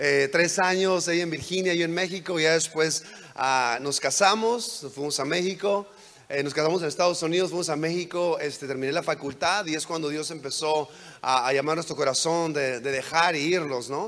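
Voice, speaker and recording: His pitch is fairly high, with ordinary variation. The man talks at a moderate pace. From Mexico, border with California. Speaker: guest preacher. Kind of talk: sermon. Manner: halting.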